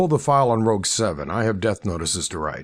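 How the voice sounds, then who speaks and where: Raspy, put-on character voice from a man of medium pitch, at a very fast pace with very wide pitch swings. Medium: read story. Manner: terse, authoritative.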